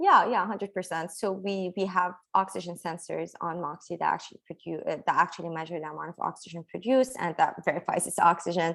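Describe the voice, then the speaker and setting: With an Arabic accent, a woman with a fairly low pitch talks very fast with hardly any pauses and fairly even intonation. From Lebanon. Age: 20s. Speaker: engineering PhD student. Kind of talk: Q&A session. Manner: halting.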